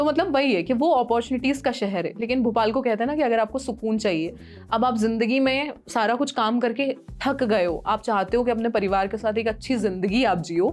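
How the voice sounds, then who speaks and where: A woman with an ordinary speaking voice talks at a moderate pace in a fairly high pitch, her loudness very even throughout. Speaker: radio jockey. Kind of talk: podcast interview answer.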